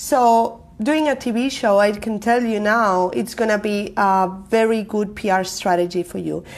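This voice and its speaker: A woman with a Spanish accent speaks at a fairly slow pace in a medium pitch, with ordinary pitch variation and hardly any pauses. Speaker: marketing coach and live show host. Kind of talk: live stream talk to viewers. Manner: loud; energetic.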